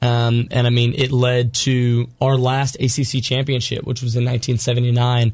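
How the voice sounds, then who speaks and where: A man speaks at a medium pitch in a somewhat breathy voice, his intonation monotone and flat. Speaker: college sports editor. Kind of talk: casual radio interview.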